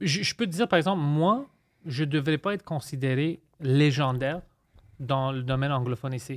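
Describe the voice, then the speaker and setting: In a dry, close sound with no echo and a very clean recording with a silent background, a man with a normal speaking voice talks at a moderate pace and a fairly high pitch, with ordinary pitch variation. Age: 30s. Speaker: comedian. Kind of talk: casual chat.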